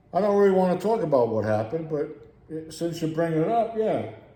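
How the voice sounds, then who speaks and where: Lively intonation and a dark, mellow tone mark this man's speech. He talks at a moderate pace, with audible room echo. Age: 60s. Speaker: video blogger. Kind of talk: rant. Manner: animated.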